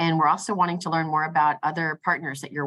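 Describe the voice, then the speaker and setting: A woman speaks in a bright, sharp tone. The sound is dry and close with no echo, over a quiet background. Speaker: grant program staff presenter. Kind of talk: webinar presentation. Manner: fast; hesitant with many fillers.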